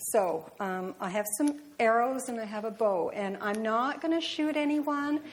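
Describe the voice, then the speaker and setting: With hardly any pauses, a woman speaks in a fairly high pitch and lively intonation, and audible room echo surrounds her voice. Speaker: lay speaker at church. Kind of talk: sermon. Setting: church. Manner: fast.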